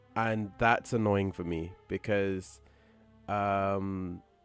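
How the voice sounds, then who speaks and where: Faint music sits in the background as a man speaks, the sound dry and free of echo. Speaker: game streamer. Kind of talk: casual commentary.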